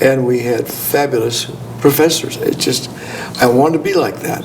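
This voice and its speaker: An American accent at a moderate pace with fairly even intonation, audible room echo and noticeable background noise. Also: man. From California. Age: 70s. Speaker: gynecologist. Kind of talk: interview. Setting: conference.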